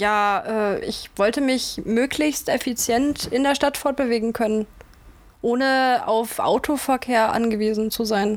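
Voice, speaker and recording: Very slowly and with very even loudness, a woman speaks at a high pitch with ordinary pitch variation. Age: 20s. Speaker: student. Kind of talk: casual chat.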